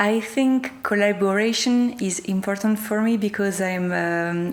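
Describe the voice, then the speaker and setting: A woman with a French accent speaks at a fairly slow pace and with ordinary pitch variation. Noticeable background noise can be heard. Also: medium pitch for a woman. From France. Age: 30s. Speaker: performance artist. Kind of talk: interview. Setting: art gallery. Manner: halting.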